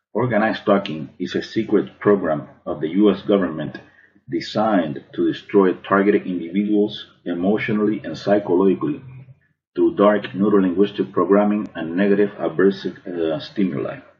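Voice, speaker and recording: A man with an ordinary speaking voice and an American accent, fairly low in pitch, ordinary in pitch variation, moderate in pace. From Cuban American, Miami. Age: 40s. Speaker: artist. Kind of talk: prepared testimony to camera.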